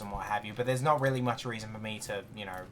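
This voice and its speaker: A man is speaking. He has an Australian accent. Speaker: gaming streamer. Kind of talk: casual chat while gaming. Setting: live stream.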